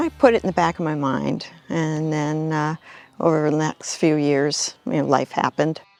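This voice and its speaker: A woman speaks at a moderate pace with a very deep, low pitch and fairly even intonation. Music plays in the background. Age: 70s. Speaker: member of a senior women's swim cleanup group. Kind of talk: interview testimony.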